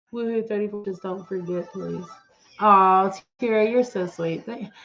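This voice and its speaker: Music plays in the background as a speaker with an American accent talks at a moderate pace with fairly even intonation. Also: woman, medium pitch for a woman. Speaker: commentary YouTuber. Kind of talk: live stream chat. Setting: live stream. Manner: casual.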